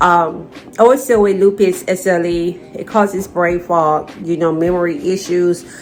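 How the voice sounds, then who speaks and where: Amid noticeable background noise, a woman speaks at a fairly slow pace with ordinary pitch variation. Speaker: vlogger sharing chronic illness experience. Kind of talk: personal vlog talk to camera. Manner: stuttering, halting.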